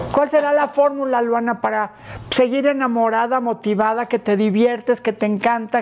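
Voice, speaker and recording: A woman speaks at a moderate pace. Her volume stays very even throughout. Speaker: interviewer, channel host; interviewer, host. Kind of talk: casual interview chat. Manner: enthusiastic, warm. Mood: warm, affectionate. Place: home room.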